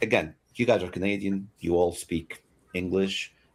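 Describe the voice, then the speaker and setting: With a Portuguese accent, a man speaks at a moderate pace. His pitch is very deep and low. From Portugal. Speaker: podcast co-host, gamer. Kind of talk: casual chat. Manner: animated.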